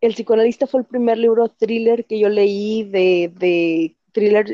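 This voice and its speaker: Speaking at a fairly slow pace with a Mexican accent, the voice keeps a fairly even intonation. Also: woman. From Mexico. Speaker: book reviewer. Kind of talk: casual chat.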